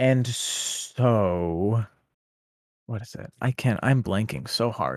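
Speaking at a very slow pace, a man uses a medium pitch with ordinary pitch variation while his loudness swings widely. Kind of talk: casual chat. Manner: rambling, halting, laughs often.

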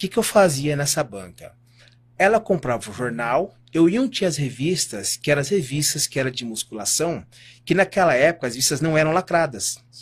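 On a very clean recording with a silent background, a man speaks at a moderate pace in a fairly high, somewhat breathy voice with lively intonation. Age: 40s. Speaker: natural bodybuilding champion. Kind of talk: interview conversation.

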